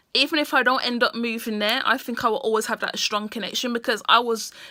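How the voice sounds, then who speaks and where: A woman speaks with a British accent at a high pitch and a fairly quick pace, her tone bright and sharp. Her intonation stays fairly even, and the sound is dry and close with no echo. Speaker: vlogger. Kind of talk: casual monologue to camera.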